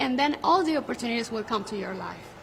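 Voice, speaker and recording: A woman's voice over noticeable background noise. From Venezuela. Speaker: beauty pageant contestant. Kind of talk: interview.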